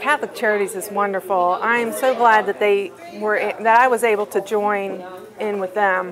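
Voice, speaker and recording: A woman speaks at a moderate pace with fairly even intonation. Noticeable background noise runs behind her. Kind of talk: interview answer. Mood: warm, grateful. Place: hall.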